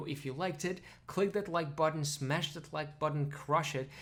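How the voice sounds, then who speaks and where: Speaking with a Russian accent, a man with a fairly high pitch and a somewhat breathy voice talks at a fairly quick pace with fairly even intonation. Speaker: pronunciation teacher. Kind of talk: tutorial. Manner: casual.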